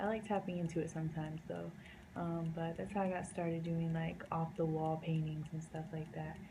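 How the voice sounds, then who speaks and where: A fairly low-pitched woman at a moderate pace, amid noticeable background noise and audible room echo. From US South, North Carolina. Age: 20s. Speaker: painter. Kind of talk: casual vlog talk. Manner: casual, many fillers.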